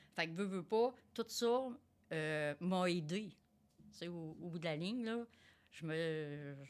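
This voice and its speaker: A woman's fairly low voice with a Quebec accent, very slow, with lively intonation and long, frequent pauses. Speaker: tradeswoman and quality director. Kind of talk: interview conversation. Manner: energetic; hesitant, many fillers.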